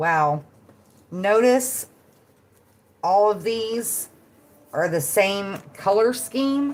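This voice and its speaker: With a Southern US accent, a woman at medium pitch talks very slowly, her lively intonation broken by long, frequent pauses. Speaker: tarot and oracle card reader. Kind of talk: casual card-reading livestream. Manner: casual, conversational.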